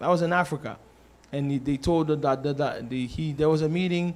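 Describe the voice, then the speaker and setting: A man with a plain, everyday voice talks at a moderate pace and a fairly high pitch. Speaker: church announcer / congregation member at a church service. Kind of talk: church announcements, casual testimony. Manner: earnest, conversational.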